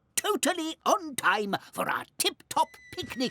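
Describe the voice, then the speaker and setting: This is a cartoonish character voice set at a high pitch. It moves along at a fairly slow pace. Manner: prim, bossy.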